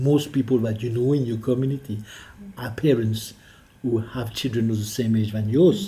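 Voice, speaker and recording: A man talks at a fairly quick pace with a French accent. His voice sits at medium pitch with ordinary variation. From France. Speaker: politician, member of the Scottish Parliament. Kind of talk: interview answer.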